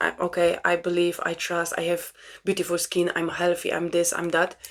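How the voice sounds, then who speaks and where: In a Polish accent, a woman with a fairly low pitch talks at a moderate pace on a very clean recording with a silent background. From Poland. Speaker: spiritual self-help vlogger. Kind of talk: casual monologue. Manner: halting.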